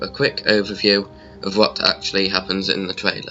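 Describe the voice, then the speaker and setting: With music playing behind him, a man talks in a fairly low voice using fairly even intonation. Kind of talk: video game trailer analysis talk. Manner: casual, hesitant with fillers.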